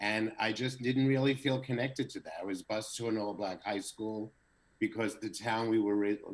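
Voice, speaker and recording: With an ordinary speaking voice, a man with an American accent talks at a moderate pace, his medium pitch held in fairly even intonation. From US East Coast, New Jersey. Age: 60s. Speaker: social media creator. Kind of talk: casual interview.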